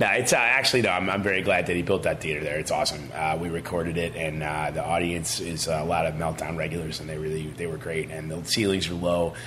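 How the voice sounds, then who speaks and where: In an American accent, a man with a very deep, low pitch and ordinary pitch variation talks at a very fast pace with hardly any pauses, amid noticeable background noise and audible room echo. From Chicago. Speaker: stand-up comedian. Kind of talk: stand-up. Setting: stage with audience.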